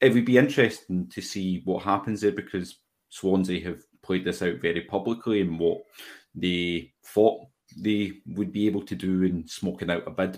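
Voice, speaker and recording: A man with a Glasgow accent speaks at a moderate pace in a very deep, low voice with ordinary pitch variation, on a very clean recording with a silent background. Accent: Scottish (Glasgow). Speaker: football fan podcaster. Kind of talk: casual chat.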